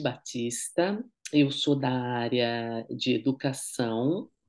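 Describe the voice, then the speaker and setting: This woman's pitch is very deep and low. She speaks at a very slow pace. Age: 50s. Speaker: educator and interviewer. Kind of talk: interview.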